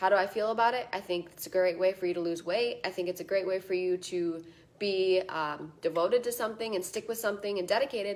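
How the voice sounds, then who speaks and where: Her medium-pitched voice moves at a very fast pace as the woman speaks. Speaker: fitness coach. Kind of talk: live stream talk. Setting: live stream. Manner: animated.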